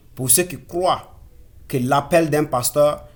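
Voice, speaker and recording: A man speaks with a somewhat breathy voice and ordinary pitch variation, in a Burkinabe accent. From Burkina Faso. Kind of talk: sermon-style exhortation. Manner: halting, self-correcting.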